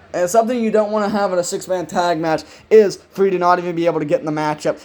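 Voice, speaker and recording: The man's tone is animated. He speaks at a very fast pace. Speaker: video game wrestling commentator. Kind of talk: live commentary.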